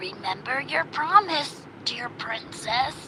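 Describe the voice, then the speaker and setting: A woman puts on a croaky character voice and speaks very slowly. Background noise is clearly audible. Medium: read story.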